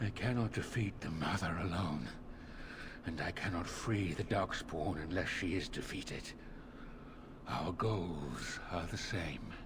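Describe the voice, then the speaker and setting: Over loud background noise, a man puts on a character voice with very deep, low pitch at a fairly slow pace. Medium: video game. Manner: measured, formal, calm.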